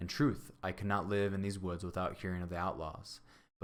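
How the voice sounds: What you hear is a natural reading voice.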